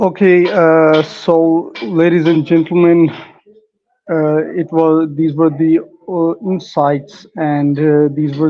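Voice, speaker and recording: A man with a non-native accent and a fairly high pitch speaks at a very slow pace in a monotone, flat way. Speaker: interviewer, channel host. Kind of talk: interview.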